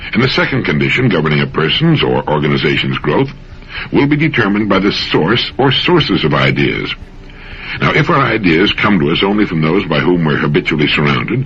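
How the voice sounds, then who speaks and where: A man with an American accent speaks at a fairly quick pace in a very deep, low voice, his pitch swinging very widely. Noticeable background noise runs underneath. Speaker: motivational radio speaker. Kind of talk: motivational talk / radio commentary.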